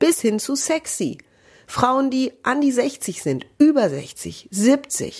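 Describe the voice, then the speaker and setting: On a very clean recording with a silent background, a woman with a high pitch talks at a very slow pace with lively intonation. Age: 40s. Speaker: TV presenter and speech trainer. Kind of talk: solo podcast monologue. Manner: trained clear broadcast diction.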